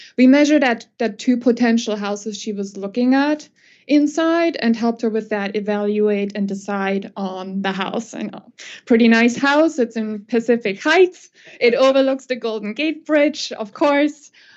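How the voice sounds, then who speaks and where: A woman with a plain, everyday voice, ordinary pitch variation, and a moderate pace. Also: fairly high pitch for a woman. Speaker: acoustical consultant presenter. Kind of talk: conference presentation.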